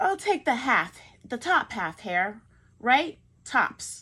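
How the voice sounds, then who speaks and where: A woman's put-on character voice, high-pitched with very wide pitch swings, at a very slow pace, in a very clean recording with a silent background. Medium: read story. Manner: sleepy, slow.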